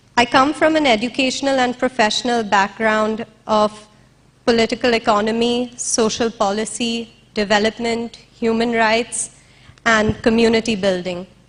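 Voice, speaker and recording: This woman's fairly high voice sounds shaky, keeping a moderate pace, fairly even intonation and very even loudness. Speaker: interviewer and activist. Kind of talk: stage speech. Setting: stage with audience. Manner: shaky voice.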